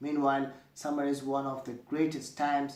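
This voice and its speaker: A man speaks at a moderate pace. There is audible echo in the room. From Afghanistan. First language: Dari and Pashto. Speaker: university student. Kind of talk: scripted self-introduction video. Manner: formal.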